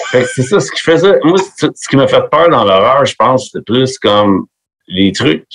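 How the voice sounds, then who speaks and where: At a moderate pace, a man talks in a dry, close recording with no echo. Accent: Quebec. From Quebec, Montreal area. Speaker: metal musician. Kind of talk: casual chat. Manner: animated.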